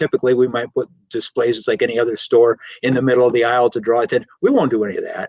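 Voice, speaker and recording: This man talks at a very fast pace in an American accent. The sound is dry and close with no echo. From Michigan, US Midwest. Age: 60s. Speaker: greenhouse business owner. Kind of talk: interview. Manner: repetitive stammering restarts.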